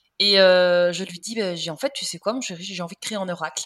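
A woman with a bright, sharp tone speaks at medium pitch with ordinary pitch variation. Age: 30s. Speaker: nutrition coach. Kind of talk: casual chat.

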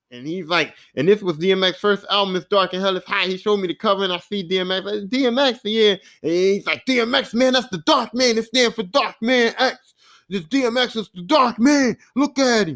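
With a Philadelphia accent, a man speaks in a high pitch at a fairly quick pace with ordinary pitch variation. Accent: Philadelphia urban American English. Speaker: podcast host. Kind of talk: casual solo podcast monologue. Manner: casual, rambling, hesitant.

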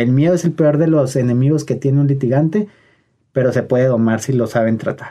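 In a dark, mellow tone, a man speaks at a fairly quick pace. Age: 30s. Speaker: lawyer. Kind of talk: interview.

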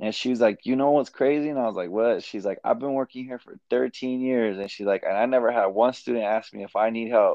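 A man with a normal speaking voice talks at a medium pitch and a fairly quick pace, with fairly even intonation and hardly any pauses. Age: 20s. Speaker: entrepreneur selling weights. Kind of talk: casual chat.

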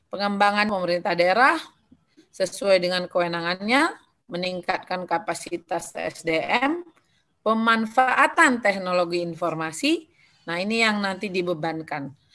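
A woman speaks at a fairly slow pace, her voice at a medium pitch with lively intonation. The tone is bright and sharp. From North Sumatra. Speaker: legislator. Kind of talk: presentation.

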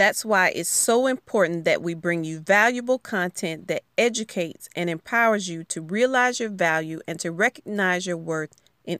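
With a Southern US accent and ordinary pitch variation, a woman is heard in a very clean recording with a silent background and a dry, close sound with no echo. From US South, rural Alabama. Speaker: podcast host and educator. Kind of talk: solo podcast monologue.

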